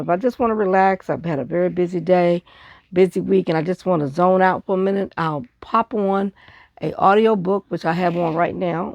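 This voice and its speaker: A woman's fairly low voice at a fairly quick pace, ordinary pitch variation, dry and close with no echo, against a quiet background. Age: 60s. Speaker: scrapbooker, craft video maker. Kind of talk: casual craft show-and-tell. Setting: home craft desk with audiobook playing.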